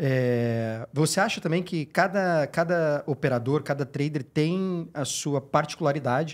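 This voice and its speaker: A fairly high-pitched man's voice at a fairly slow pace, with ordinary pitch variation over a quiet background. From Brazil. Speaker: podcast co-host; podcast host. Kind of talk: casual chat. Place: studio. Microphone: studio mic.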